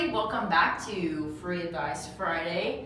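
Amid noticeable background noise and audible room echo, a woman speaks at a fairly low pitch. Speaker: co-host reading viewer questions. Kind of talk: casual interview Q&A. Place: office. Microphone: camera far.

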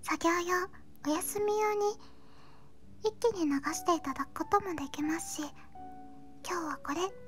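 A woman talks at a moderate pace with ordinary pitch variation. Clear music plays in the background. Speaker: VTuber illustrator and animator. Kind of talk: casual talk about her hobbies and channel. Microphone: studio mic.

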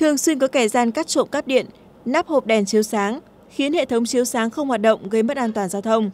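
A woman speaks at a very fast pace in a high voice. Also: ordinary pitch variation. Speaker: news reporter. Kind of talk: news reading.

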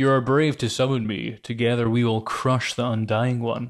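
A man puts on a rumbling character voice at medium pitch. He speaks at a moderate pace in a very clean recording with a silent background.

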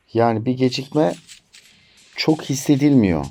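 This clip features a man. His delivery is fairly slow. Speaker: tech reviewer. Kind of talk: product review. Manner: animated.

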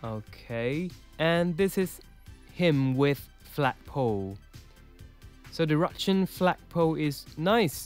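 A man with a non-native accent speaks in a fairly high pitch with lively intonation, while music plays in the background. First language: not English. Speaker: toy collector and reviewer. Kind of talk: casual toy review voice-over.

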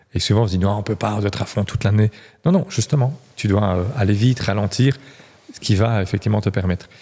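A man's somewhat breathy, dark, mellow voice, fairly low in pitch with ordinary pitch variation. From Belgium. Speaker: real estate coach, former agency manager; real estate coach. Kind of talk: casual interview. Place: studio. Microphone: studio mic.

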